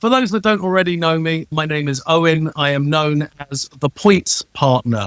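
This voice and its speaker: Captured dry and close with no echo, a man with a fairly high pitch talks at a moderate pace with lively intonation and hardly any pauses. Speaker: travel rewards consultant. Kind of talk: self-introduction talk on a live show. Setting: live stream.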